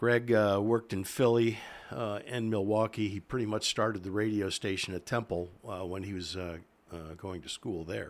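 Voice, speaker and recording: Speaking at a moderate pace, a man with an American accent keeps a fairly low pitch and fairly even intonation. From Pennsylvania, Berks County. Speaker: retired radio host. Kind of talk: casual interview chat. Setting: studio. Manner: hesitant, many uh fillers.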